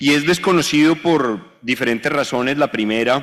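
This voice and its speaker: A Bogotá accent with lively intonation at a fairly slow pace. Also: man. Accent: Bogotá Colombian Spanish. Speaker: law speaker on a panel. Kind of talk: conference talk. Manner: hesitant, with many fillers.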